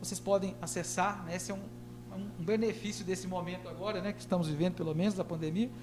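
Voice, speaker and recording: Music plays in the background as a man talks at a fairly quick pace. Audible room echo surrounds his voice. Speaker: professor. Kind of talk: public hearing presentation. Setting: council chamber, livestreamed. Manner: halting, frequent fillers.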